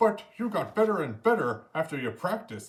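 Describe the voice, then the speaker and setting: At a moderate pace, a man puts on a character voice, high in pitch with very wide pitch swings. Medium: read story.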